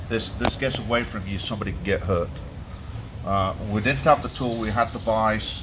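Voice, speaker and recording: Noticeable background noise and audible room echo surround a man speaking at a moderate pace, his fairly low pitch showing ordinary variation. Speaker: boat mechanic. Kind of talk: casual workshop walkthrough. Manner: loud; halting.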